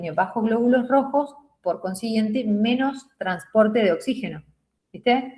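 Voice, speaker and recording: A woman speaks at a moderate pace with a fairly high pitch and ordinary pitch variation. Her voice is somewhat breathy, with a dark, mellow tone. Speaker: nursing teacher. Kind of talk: lecture.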